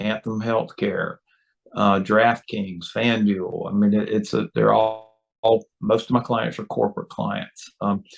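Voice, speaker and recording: A man with a North Carolina accent speaks at a fairly slow pace against a quiet background. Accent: Southern US (North Carolina). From North Carolina, rural. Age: 60s. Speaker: lobbyist. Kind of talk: interview. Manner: halting, many fillers.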